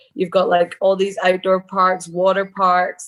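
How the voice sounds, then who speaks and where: Medium-pitched female voice at a moderate pace, with music in the background. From Scotland (Kilmarnock), raised in Australia from age ten. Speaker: mixed martial arts fighter. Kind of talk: podcast interview.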